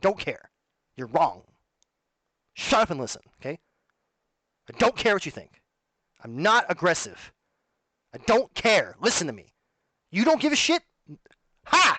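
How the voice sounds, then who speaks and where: Pausing long and often, a man speaks at a high pitch in a bright, sharp tone with very wide pitch swings, the sound dry and close with no echo. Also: big swings in loudness. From Canada. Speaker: streamer. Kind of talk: monologue to camera. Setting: alone at home. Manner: fast; animated.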